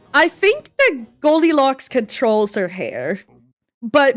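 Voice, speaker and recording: A woman with a Swedish accent speaks at a fairly slow pace. Her pitch swings very widely. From Sweden. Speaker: animator. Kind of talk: casual chat. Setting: livestream.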